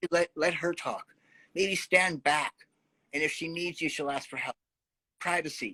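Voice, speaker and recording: A man with a Canadian accent and a high pitch talks at a moderate pace in a bright, sharp tone, with fairly even intonation, long, frequent pauses, and a dry, close sound with no echo. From Canada, Winnipeg North End. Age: 60s. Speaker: community outreach worker. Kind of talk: interview.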